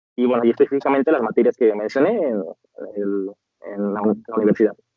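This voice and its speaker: A man speaks very fast. His pitch sits in the medium range and varies in an ordinary way. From Mexico, Celaya, Guanajuato. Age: 30s. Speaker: lawyer and teacher. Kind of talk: interview.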